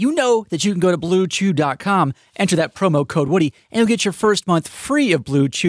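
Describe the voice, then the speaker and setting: A man talks in a plain, everyday voice. The very clean recording is dry and close, with no echo and a silent background. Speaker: radio co-host. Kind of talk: casual joking banter. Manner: wisecracking, quick with quips.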